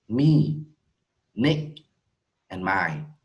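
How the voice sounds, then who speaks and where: Somewhat breathy and very slow, a man's voice swings very widely in pitch amid audible room echo. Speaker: English teacher. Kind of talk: online English lesson.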